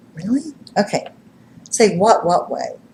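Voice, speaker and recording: Lively intonation and an animated tone mark this woman's medium-pitched speech at a moderate pace. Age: 60s. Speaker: psychic medium and TV personality. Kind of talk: live stream monologue. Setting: live web stream.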